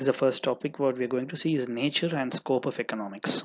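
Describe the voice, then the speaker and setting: A voice in a Tamil accent at a moderate pace, with ordinary pitch variation. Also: man. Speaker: online teacher and entrepreneur. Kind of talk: lecture. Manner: halting.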